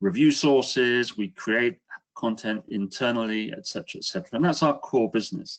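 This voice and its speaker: Speaking at a fairly quick pace, a man with a British accent talks at a medium pitch. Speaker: business executive. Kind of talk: webinar presentation. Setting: online webinar.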